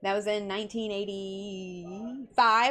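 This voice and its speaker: A woman with a Texas accent speaks in an animated tone. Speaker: counselor and live show host. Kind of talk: casual chat. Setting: home bedroom, livestream.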